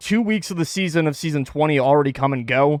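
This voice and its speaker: There is music in the background as a man speaks at a fairly high pitch with ordinary pitch variation. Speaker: esports podcast host. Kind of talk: live-streamed podcast monologue. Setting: home, streamed live on Twitch. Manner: loud.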